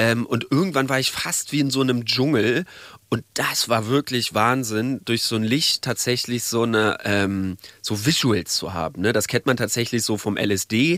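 The voice belongs to a man. His pitch moves with ordinary variation. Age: 30s. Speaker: journalist. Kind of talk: interview, recounting experiences.

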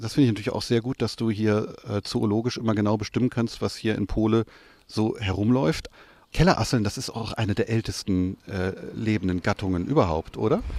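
An ordinary speaking voice: a man with a fairly low pitch and ordinary pitch variation talks at a fairly quick pace on a very clean recording with a silent background. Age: 40s. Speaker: literary radio editor. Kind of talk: literary discussion.

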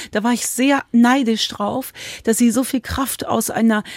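In a dry, close recording with no echo, a somewhat breathy woman speaks at a fairly high pitch and a moderate pace with ordinary pitch variation. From Cologne, Germany. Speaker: author. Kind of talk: interview.

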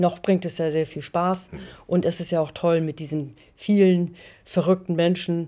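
On a very clean recording with a silent background, a woman with a fairly low pitch and a dark, mellow tone speaks at a moderate pace with fairly even intonation. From northern Germany, Schleswig near Flensburg. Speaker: theatre owner and artist. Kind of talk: casual interview. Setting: at her small theatre.

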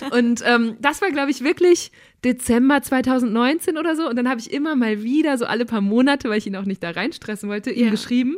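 Lively intonation marks how this woman talks. Her pitch is high. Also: fairly quick pace. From Münsterland, Germany. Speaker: podcast host. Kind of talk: casual chat.

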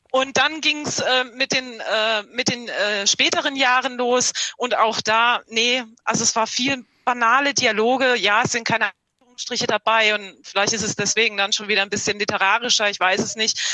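With an ordinary speaking voice, a woman talks at a moderate pace, her fairly high pitch held to fairly even intonation. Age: 40s. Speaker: podcast listener. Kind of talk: book discussion via video call. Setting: video call.

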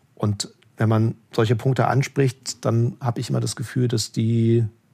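With a dark, mellow tone and a somewhat breathy quality, a man talks at a medium pitch and ordinary pitch variation. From eastern Germany, Leipzig. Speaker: political correspondent. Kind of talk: interview conversation.

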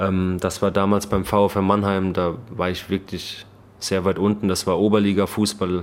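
A man with a fairly low pitch and a slight Baden-Württemberg accent talks at a fairly slow pace. His intonation is monotone and flat, and the recording is very clean with a silent background. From Baden-Württemberg, Germany. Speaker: professional football goalkeeper. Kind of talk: casual interview. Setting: stadium lounge.

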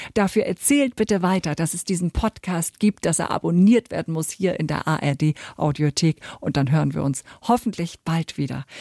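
The delivery has lively intonation at a moderate pace, with a dark, mellow tone and a dry, close sound with no echo on a very clean recording with a silent background. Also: woman, fairly low pitch for a woman. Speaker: podcast host. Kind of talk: scripted outro; interview.

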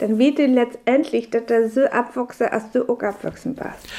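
A woman talks at a moderate pace in a high-pitched voice with a dark, mellow tone and monotone, flat intonation. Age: 60s. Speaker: biologist and former teacher. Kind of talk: radio interview in Frisian.

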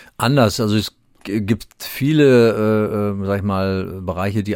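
Very clean recording with a silent background, a man in a normal speaking voice, fairly low in pitch, with ordinary pitch variation. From Hesse, Germany (Gießen). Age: 60s. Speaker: police chief. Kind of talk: interview.

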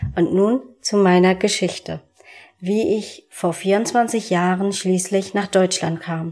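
At a very slow pace, a woman speaks at medium pitch with fairly even intonation. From Hamburg, Germany (born in Namibia, adopted at two). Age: 20s. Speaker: adoptee, aspiring actress. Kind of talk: personal testimony.

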